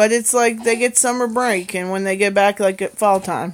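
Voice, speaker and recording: A woman's normal speaking voice, medium in pitch, with ordinary pitch variation and a moderate pace. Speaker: livestreamer, mother. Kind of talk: casual livestream chat.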